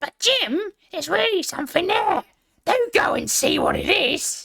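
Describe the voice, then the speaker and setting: This is a raspy, put-on character voice at an extremely high pitch. The pace is moderate. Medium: read story. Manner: insistent.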